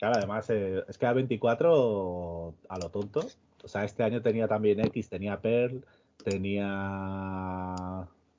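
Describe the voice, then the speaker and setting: A man talks very slowly. His pitch shifts in an ordinary way. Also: fairly low pitch for a man. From Extremadura, Spain. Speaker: podcast co-host. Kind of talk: casual chat.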